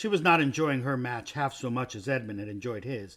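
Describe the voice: Here the delivery is plain reading aloud.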